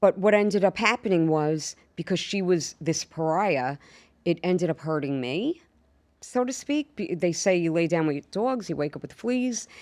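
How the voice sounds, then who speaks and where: On a very clean recording with a silent background, a woman speaks in a strong Long Island accent at a moderate pace. Her fairly low voice has lively intonation and a dry, close sound with no echo. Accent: strong Long Island New York. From New York, Long Island. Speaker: actress and stand-up comedian. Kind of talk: casual interview chat. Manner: animated storytelling.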